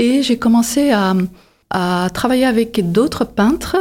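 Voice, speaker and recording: This woman talks at a very slow pace. Her tone is dark and mellow. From Belgium, Flemish side (Antwerp). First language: Dutch (Flemish) (speaking French). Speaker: painter and photographer. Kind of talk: interview monologue. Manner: halting, many hesitations.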